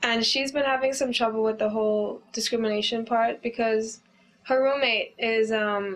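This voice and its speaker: A woman's fairly high voice at a moderate pace, with fairly even intonation and very even loudness. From Bahamas. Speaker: university student, immigrant. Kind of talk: interview. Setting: on camera. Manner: casual, many fillers.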